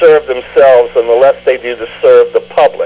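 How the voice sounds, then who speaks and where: A man with an American accent at a moderate pace, amid noticeable background noise. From US South. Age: 60s. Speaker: mayoral candidate. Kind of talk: radio interview.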